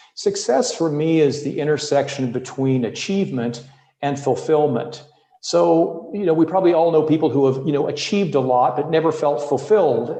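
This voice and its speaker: With a North American accent, a man talks at a moderate pace and a fairly high pitch, with ordinary pitch variation and audible room echo. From US Midwest. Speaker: leadership coach. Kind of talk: podcast interview.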